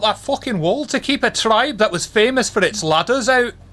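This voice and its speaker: The delivery moves at a fairly quick pace. A Scottish accent is heard. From Scotland. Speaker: tabletop game master. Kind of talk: tabletop roleplay session.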